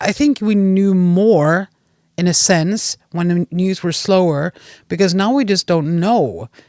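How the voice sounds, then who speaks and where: A woman with a Swedish accent speaks at a fairly slow pace in a dark, mellow tone, recorded dry and close with no echo. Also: medium pitch for a woman, ordinary pitch variation, very clean recording, silent background. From Sweden, Gävle area. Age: 40s. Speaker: podcast guest. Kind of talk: casual chat. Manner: halting.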